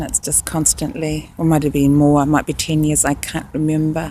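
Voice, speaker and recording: The speaker is a woman. She has a New Zealand accent. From New Zealand, Rotorua. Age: 60s. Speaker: nurse. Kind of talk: casual video narration. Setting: outdoors. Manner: slightly halting.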